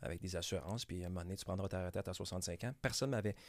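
Very fast and very deep in pitch, a man with a Quebec accent speaks on a very clean recording with a silent background. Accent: Québécois French. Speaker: real estate broker. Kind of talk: casual interview. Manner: mumbling words, stumbling.

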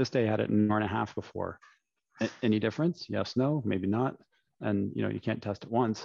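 In a Canadian accent, a man speaks fairly quickly with a fairly low pitch, a dark, mellow tone and ordinary pitch variation. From London, Ontario, Canada. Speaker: former pro volleyball player and CEO. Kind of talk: casual interview.

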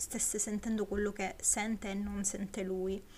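With a somewhat breathy, medium-pitched voice, a woman talks at a moderate pace in a monotone, flat intonation. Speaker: podcaster. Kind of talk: solo podcast film review. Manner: slightly slurred articulation; hesitant, many fillers.

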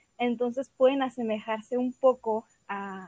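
A woman's fairly high voice moves at a very slow pace, its intonation fairly even. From Mexico, Guadalajara, Jalisco. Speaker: writer and visual artist. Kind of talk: explanatory talk. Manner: halting.

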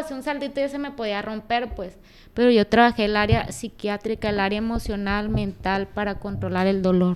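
The delivery comes in an unremarkable speaking voice at a moderate pace, with ordinary pitch variation. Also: woman. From Mexico, Culiacán, Sinaloa. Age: 20s. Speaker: former Olympic taekwondo athlete. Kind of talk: interview. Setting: office.

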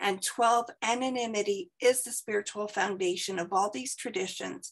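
Ordinary pitch variation and a moderate pace in an unremarkable speaking voice. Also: woman. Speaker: meeting member reading traditions. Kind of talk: reading aloud.

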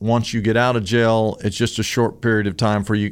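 In a very clean recording with a silent background, a man uses a normal speaking voice, fairly low in pitch, at a moderate pace. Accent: American. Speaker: pastor. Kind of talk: preacher telling a testimony story to listeners. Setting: podcast studio.

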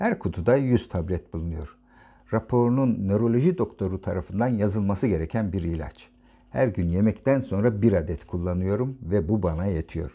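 A man speaks in a dark, mellow tone at a fairly low pitch with ordinary pitch variation. His pace is moderate and the background is quiet. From Turkey, Ankara. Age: 50s. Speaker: podcaster, retired naval officer. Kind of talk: personal diary narration.

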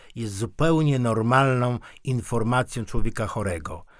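A normal speaking voice, fairly slow in pace, ordinary pitch variation throughout. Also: man. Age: 60s. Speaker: podcast co-host. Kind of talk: casual discussion. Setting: radio studio.

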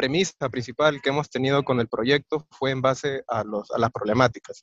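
Medium-pitched male speech at a moderate pace, fairly even in intonation, with a dry, close sound and no echo. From Peru. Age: 20s. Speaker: agronomist engineer. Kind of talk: interview. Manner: halting, many fillers.

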